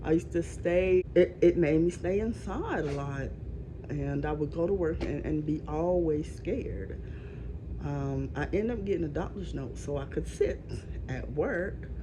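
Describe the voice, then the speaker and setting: A woman speaks at a moderate pace amid noticeable background noise and audible room echo. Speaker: vlogger with chronic illness. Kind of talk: casual vlog rant. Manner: halting, with many fillers.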